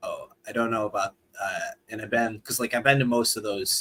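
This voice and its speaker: A man talks with a Buffalo accent. His pace is very fast. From Buffalo, New York area. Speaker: YouTuber. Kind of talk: casual chat. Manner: halting, many fillers.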